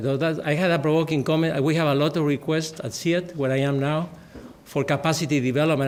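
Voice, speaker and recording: Against audible room echo, a man speaks fairly quickly at a fairly high pitch with fairly even intonation. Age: 60s. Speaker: agricultural research director. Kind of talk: conference talk. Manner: halting.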